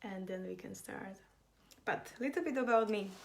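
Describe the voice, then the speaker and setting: Speaking in a Slovak accent, a woman talks at a moderate pace and medium pitch with fairly even intonation, and audible room echo surrounds her voice. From Slovakia. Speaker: business and design consultant. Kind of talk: live online class. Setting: livestream.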